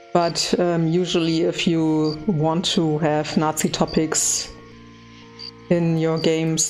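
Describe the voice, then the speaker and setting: Someone speaks with a German accent while music plays in the background. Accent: German accent, noticeable. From Germany. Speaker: gaming YouTuber. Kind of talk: let's play commentary. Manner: hesitant, many fillers.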